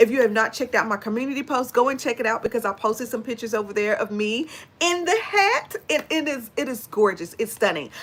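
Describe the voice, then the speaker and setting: A woman with an American accent talks at a very fast pace, with hardly any pauses, an animated tone, lively intonation and a fairly high pitch, over noticeable background noise. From Texas. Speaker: beauty and fragrance YouTuber. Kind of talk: casual livestream chat.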